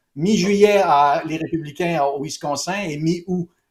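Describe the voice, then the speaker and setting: A fairly high-pitched man's voice in a Quebec accent, with ordinary pitch variation and a fairly slow pace. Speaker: pollster. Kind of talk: interview. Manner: halting.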